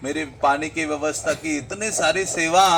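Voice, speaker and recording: A man speaks loudly in a high voice. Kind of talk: religious discourse.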